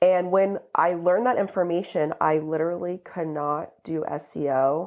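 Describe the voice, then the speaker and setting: An unremarkable speaking voice from a woman, fairly low in pitch, at a moderate pace with fairly even intonation. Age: 30s. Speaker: digital marketing agency co-owner. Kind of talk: casual chat. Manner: filler-heavy, many repeats.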